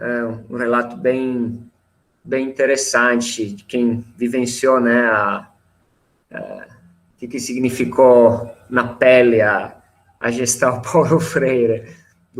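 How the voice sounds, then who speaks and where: Speaking very slowly with long, frequent pauses, a man with an Italian accent keeps a monotone, flat intonation. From Italy, near Milan. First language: Italian (speaking Portuguese). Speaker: teacher. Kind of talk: panel discussion.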